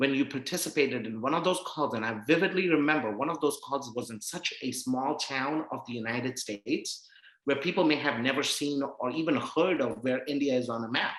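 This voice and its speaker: A man with a normal speaking voice talks at a fairly quick pace, fairly high in pitch, with ordinary pitch variation. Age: 30s. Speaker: Spanish teacher and non-profit founder. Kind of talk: casual interview chat.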